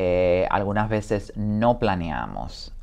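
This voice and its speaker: A man speaks in a fairly low voice. Faint music plays in the background. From Dominican Republic. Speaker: home care business owner and former caregiver; interview guest. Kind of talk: interview. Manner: hesitant, many fillers. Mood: reflective, somber. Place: studio. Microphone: lapel.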